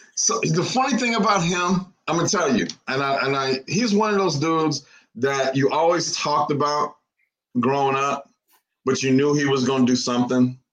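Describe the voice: A man talks in an ordinary speaking voice at a moderate pace, pitched fairly high. His intonation is lively, and his loudness stays very even.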